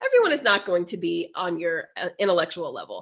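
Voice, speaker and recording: Her tone is animated. The woman talks at a very fast pace. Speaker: podcast co-host. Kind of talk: casual chat.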